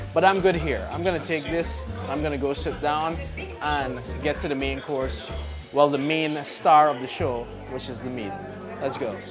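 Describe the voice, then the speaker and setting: A man at a moderate pace with long, frequent pauses, clear music in the background. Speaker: food show host. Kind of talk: casual food vlog commentary. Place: shop.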